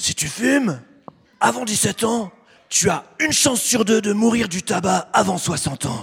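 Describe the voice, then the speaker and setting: A man's raspy put-on character voice, high-pitched with very wide pitch swings, at a fairly slow pace. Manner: warning, paternal.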